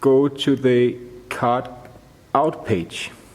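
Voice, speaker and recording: Against noticeable background noise, a man with a Danish accent speaks at a very slow pace and medium pitch, with ordinary pitch variation. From Denmark. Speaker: audio tutorial maker. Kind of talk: tutorial. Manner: halting, many fillers.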